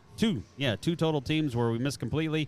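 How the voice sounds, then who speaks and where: A man with an ordinary speaking voice, fairly quick pace and ordinary pitch variation. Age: 50s. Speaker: sports betting podcast co-host. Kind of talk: casual chat. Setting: casino sportsbook.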